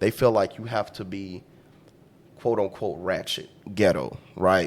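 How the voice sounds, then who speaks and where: With a Louisiana accent, a man speaks at a fairly slow pace in a fairly low pitch with ordinary pitch variation. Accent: Louisiana Southern US. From US South, Louisiana. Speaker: podcast guest. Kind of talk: casual chat.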